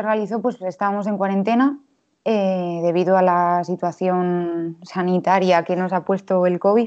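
At a fairly slow pace, a woman uses a normal speaking voice with medium pitch and fairly even intonation. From Spain, Valladolid. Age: 20s. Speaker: illustrator. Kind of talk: casual interview.

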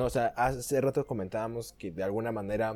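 Recorded very cleanly against a silent background, a man with a Mexican accent talks at a medium pitch in a dark, mellow tone. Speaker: podcast host. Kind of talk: casual chat.

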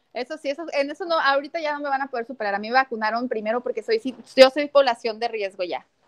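A woman talks at a very fast pace with hardly any pauses, her high-pitched voice lively in intonation and swinging widely in loudness. The sound is dry and close, with no echo. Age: 30s. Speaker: feminist activist and political candidate. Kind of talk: interview conversation.

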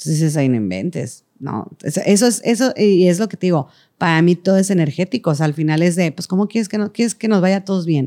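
Her dark, mellow voice fairly low in pitch, a woman races along very fast with hardly any pauses and lively intonation, the sound dry and close with no echo. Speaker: singer, actress and choreographer. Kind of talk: casual chat.

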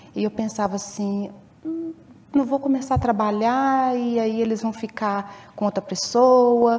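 Slightly slow in pace, a woman with an ordinary speaking voice talks at a fairly high pitch with ordinary pitch variation. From Viçosa, Minas Gerais, Brazil. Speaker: stay-at-home mother. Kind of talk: interview testimony.

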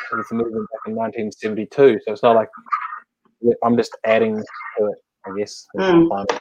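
Here a man speaks with a New Zealand accent. His intonation stays fairly even. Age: 40s. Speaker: livestream host. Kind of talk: casual interview.

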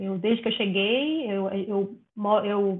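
Her fairly high pitch and fairly even intonation give this woman an unremarkable speaking voice. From Bahia, Brazil. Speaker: biologist moving into software development. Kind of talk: casual interview.

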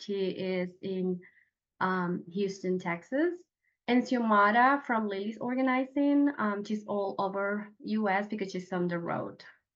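At a fairly slow pace, a woman talks with a Venezuelan accent. Her pitch sits in the medium range and varies in an ordinary way. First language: Spanish. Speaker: professional organizer. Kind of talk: casual interview.

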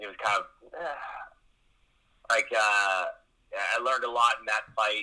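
A man speaks with a Canadian accent. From Saskatchewan, Canada. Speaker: pro wrestler and former MMA fighter. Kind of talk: casual interview.

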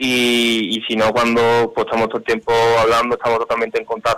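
This man's pitch is medium. He talks at a fairly quick pace. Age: 20s. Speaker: brotherhood official. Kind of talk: interview.

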